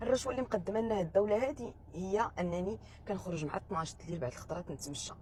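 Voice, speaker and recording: Against noticeable background noise, a woman talks at a very fast pace with a Moroccan accent. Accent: Moroccan Darija. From Morocco. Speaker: vlogger. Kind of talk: casual monologue vlog.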